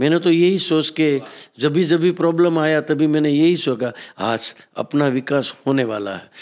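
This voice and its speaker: A man's fairly high pitch, ordinary pitch variation, a plain, everyday voice. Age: 60s. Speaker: businessman. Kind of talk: motivational talk.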